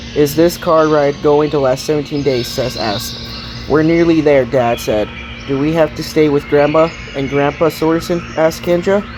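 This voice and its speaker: With music in the background, a man keeps a moderate pace and a fairly even intonation. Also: fairly high pitch for a man. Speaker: audiobook narrator. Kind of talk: read story.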